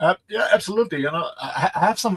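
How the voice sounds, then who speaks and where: A man speaks at a fairly quick pace with ordinary pitch variation. The sound is dry and close, with no echo. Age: 60s. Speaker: health and fitness coach. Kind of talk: interview. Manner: halting.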